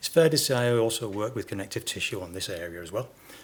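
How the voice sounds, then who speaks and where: Somewhat breathy, a man with a medium pitch speaks at a fairly quick pace. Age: 60s. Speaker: podiatrist. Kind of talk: conference Q&A. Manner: halting, many repetitions.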